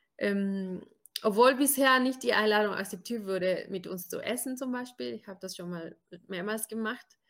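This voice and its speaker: Her loudness swinging widely, a woman talks at a moderate pace in an unremarkable speaking voice, fairly high in pitch with ordinary pitch variation. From Brazil. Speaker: podcast co-host. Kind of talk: casual podcast interview.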